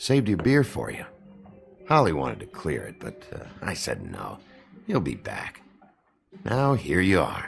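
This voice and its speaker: Putting on a character voice at medium pitch, a man speaks at a moderate pace with long, frequent pauses while faint music plays behind him. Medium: video game. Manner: gruff, crude.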